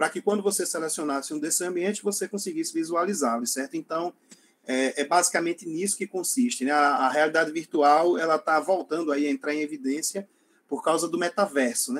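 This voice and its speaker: A man is speaking at a fairly quick pace. His pitch is fairly high. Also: ordinary pitch variation. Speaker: lecturer on environmental education technology. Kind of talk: online lecture. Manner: halting, many fillers.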